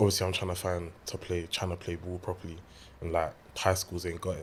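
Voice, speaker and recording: A man with a British accent speaks at a fairly quick pace in a very deep, low pitch. His delivery is monotone and flat, and somewhat breathy. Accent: British, formerly American-Caribbean. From Caribbean and America (born West London). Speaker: American football player. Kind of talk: casual chat.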